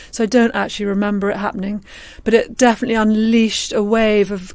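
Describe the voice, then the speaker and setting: At a fairly quick pace, a woman with an English accent speaks at medium pitch. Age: 50s. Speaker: screenwriter and novelist. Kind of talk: interview. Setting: podcast. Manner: halting, many fillers.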